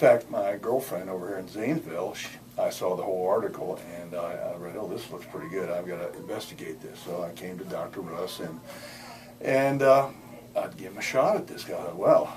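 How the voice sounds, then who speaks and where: Through audible room echo and noticeable background noise, a man speaks at a fairly quick pace with big swings in loudness. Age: 70s. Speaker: patient, retired chemist. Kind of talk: testimonial interview. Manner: halting, many repetitions.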